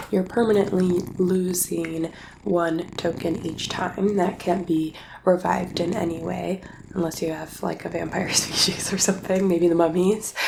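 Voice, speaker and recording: Soft-spoken and monotone, the speaker keeps a moderate pace and flat intonation amid noticeable background noise. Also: woman, fairly low pitch for a woman. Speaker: board game teacher. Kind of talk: board game rules tutorial.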